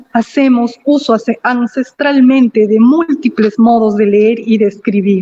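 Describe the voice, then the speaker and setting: A woman speaks at a fairly slow pace with a Cusco Andean accent, using a fairly high pitch, a dark, mellow tone and fairly even intonation. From Peru, Cusco (Acomayo). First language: Quechua (speaking Spanish). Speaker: invited speaker, Quechua speaker. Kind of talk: formal speech. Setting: virtual ceremony.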